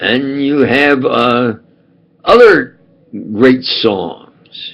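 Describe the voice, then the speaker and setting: A man with a New York accent. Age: old. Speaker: self-styled preacher and commentator. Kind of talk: rambling monologue to camera. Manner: halting, many fillers and restarts.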